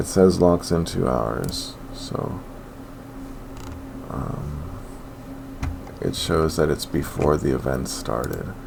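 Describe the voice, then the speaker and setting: A man with a very deep, low pitch speaks at a very slow pace. Audible room echo and noticeable background noise surround him. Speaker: sports betting youtuber. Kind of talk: casual monologue.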